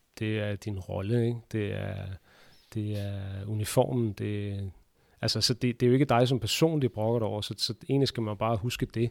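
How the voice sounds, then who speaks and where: In an unremarkable speaking voice, a man talks at a moderate pace with fairly low pitch and fairly even intonation, in a very clean recording with a silent background and a dry, close sound with no echo. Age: 30s. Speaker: handball referee. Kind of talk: interview. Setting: basement under sports hall.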